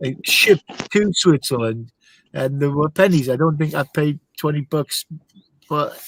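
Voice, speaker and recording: Somewhat breathy and fairly high in pitch, a man speaks at a moderate pace with ordinary pitch variation and long, frequent pauses, in a dry, close sound with no echo. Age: 60s. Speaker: car hobbyist. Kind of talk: casual chat.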